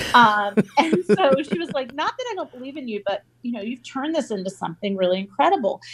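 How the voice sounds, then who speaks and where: A woman with an American accent, high in pitch and very fast, with very wide pitch swings and big swings in loudness. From US South, North Carolina. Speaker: entrepreneur and author. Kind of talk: casual interview.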